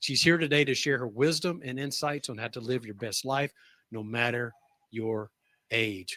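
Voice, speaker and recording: A man talks at a moderate pace in a plain, everyday voice, his pitch sitting in the middle of his range with ordinary rise and fall. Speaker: podcast host. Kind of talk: show introduction.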